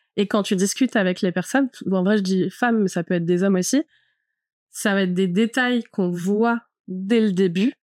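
Speaking at a moderate pace, a woman holds a medium pitch with ordinary variation and very even loudness, her sound dry and close with no echo. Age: 30s. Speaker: fashion stylist. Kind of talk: personal testimony. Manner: casual, hesitant with fillers.

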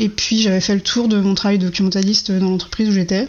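Over noticeable background noise, a woman talks at a fairly quick pace with a medium pitch and monotone, flat intonation. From Brittany, France. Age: 30s. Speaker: web developer. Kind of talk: interview.

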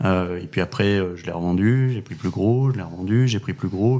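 A man's voice with ordinary pitch variation and noticeable background noise. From France, moved around (born Pau, studied Lyon). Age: 30s. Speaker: drone company founder. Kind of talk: interview. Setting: at the guest's home.

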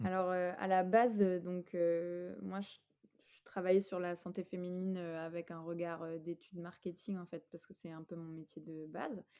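A woman with a dark, mellow tone speaks at a fairly low pitch and a fairly slow pace. Her intonation is fairly even, but her loudness swings widely. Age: 30s. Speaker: app founder. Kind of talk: interview.

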